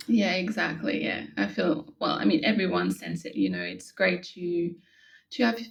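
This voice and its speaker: In a French accent, a woman speaks at a moderate pace. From France. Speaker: yoga instructor. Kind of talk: interview. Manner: halting.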